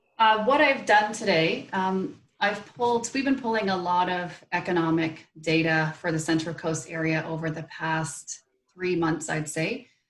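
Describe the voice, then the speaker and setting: With a Canadian accent, a woman talks at a fairly slow pace in a plain, everyday voice, fairly low in pitch, with lively intonation. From Canada. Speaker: local government economic development manager. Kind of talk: presentation.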